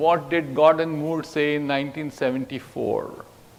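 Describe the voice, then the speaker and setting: The man's intonation is monotone and flat. There is noticeable background noise. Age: 70s. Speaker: technology executive and speaker. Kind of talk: keynote speech to students.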